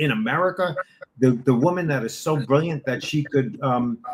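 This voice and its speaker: A man with a fairly high, somewhat breathy voice speaks in an animated tone at a moderate pace, his pitch varying in an ordinary way. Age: 60s. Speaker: supplement distributor. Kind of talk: interview.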